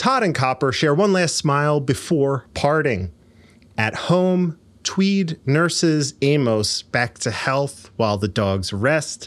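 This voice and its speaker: Very slow delivery with lively intonation and very even loudness. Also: man, fairly high pitch for a man. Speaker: podcast host. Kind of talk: casual chat. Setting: live stream with online audience.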